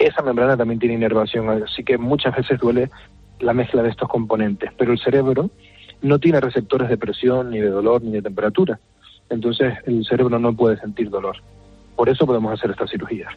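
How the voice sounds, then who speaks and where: Over music in the background, a man with a Canarian accent speaks at a fairly quick pace and medium pitch, with fairly even intonation. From Canary Islands, La Palma. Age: 30s. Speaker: neurosurgeon. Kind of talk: interview. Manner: halting.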